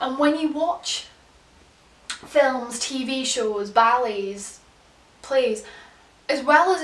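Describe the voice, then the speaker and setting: A woman's high, bright, sharp voice at a very slow pace, with ordinary pitch variation and audible room echo. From England. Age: 20s. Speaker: vlogger. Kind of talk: casual chat.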